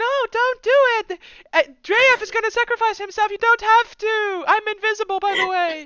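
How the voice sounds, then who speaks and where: Dry and close with no echo, a woman puts on a character voice at an extremely high pitch. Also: moderate pace. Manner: pleading.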